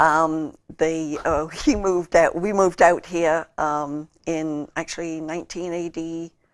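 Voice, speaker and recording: In a Liverpool accent, a woman talks with monotone, flat intonation and a fairly low pitch, her loudness swinging widely. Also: fairly slow pace. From England, Liverpool. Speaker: political candidate. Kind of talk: interview. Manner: halting, many fillers.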